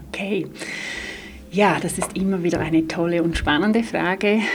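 A woman talks at a medium pitch with ordinary pitch variation. Noticeable background noise runs behind her. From Switzerland, Graubünden. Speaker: dance therapist. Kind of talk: interview. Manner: hesitant fillers.

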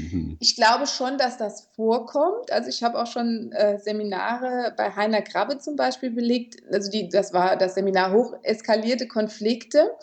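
At a moderate pace and with hardly any pauses, a woman speaks in a fairly high pitch with vocal fry and ordinary pitch variation. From Germany, Kaiserslautern (Palatinate). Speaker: mediator and conflict coach. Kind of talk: interview.

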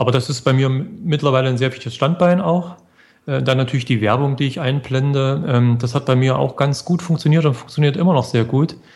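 A man's medium-pitched, somewhat breathy voice at a fairly quick pace with ordinary pitch variation. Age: 40s. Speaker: blogger. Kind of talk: interview.

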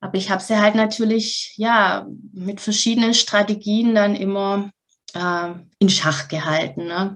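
Somewhat breathy and medium in pitch, a woman speaks at a fairly slow pace. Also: fairly even intonation. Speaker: mental health coach. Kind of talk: interview.

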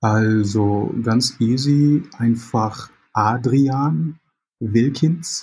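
Somewhat breathy and dark, mellow in tone, a man speaks at a very slow pace with ordinary pitch variation. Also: medium pitch for a man. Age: 30s. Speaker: concept artist. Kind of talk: interview. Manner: hesitant, many fillers.

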